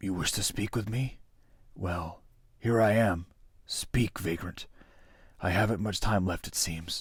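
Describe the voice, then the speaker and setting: A man whispers in a raspy, put-on character voice. He goes at a fairly slow pace with long, frequent pauses. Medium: read story. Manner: whispering, halting.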